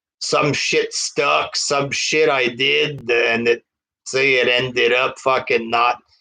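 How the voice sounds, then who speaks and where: Very slowly, a man talks with a strong French Canadian accent. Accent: heavy French Canadian. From Quebec. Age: 30s. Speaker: wrestling reviewer. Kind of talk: casual live stream chat. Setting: live stream.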